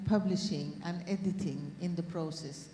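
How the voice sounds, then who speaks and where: A woman speaks at a very slow pace with ordinary pitch variation. Audible room echo and noticeable background noise fill the recording. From Norway. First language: Norwegian. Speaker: academic speaker. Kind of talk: panel talk. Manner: halting.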